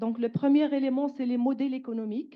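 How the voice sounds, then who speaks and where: The woman speaks with fairly even intonation. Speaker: researcher, panel speaker. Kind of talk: conference presentation. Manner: hesitant, many fillers.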